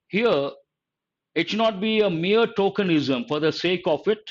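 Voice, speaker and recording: With an Indian accent and lively intonation, a man speaks at a moderate pace against a quiet background. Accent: Indian English (Telugu). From Telugu-speaking South India. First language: Telugu. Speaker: English teacher. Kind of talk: live online lecture. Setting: live stream.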